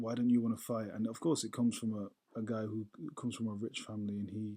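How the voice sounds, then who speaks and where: Here a man talks at a fairly quick pace and medium pitch. His tone is dark and mellow, his intonation monotone and flat. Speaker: vlogger. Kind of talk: casual vlog monologue. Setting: at home, dark room. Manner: halting.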